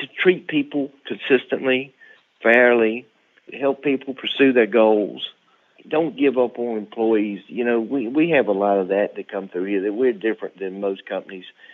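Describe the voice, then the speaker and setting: This is a plain, everyday voice with ordinary pitch variation. It moves at a moderate pace. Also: man, medium pitch for a man. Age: 50s. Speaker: company president, former welder. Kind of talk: interview.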